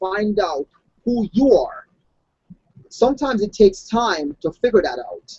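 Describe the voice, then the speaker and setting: The speech moves at a fairly slow pace with a slight non-native accent. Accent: slight foreign. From outside the US, immigrant. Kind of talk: motivational discussion.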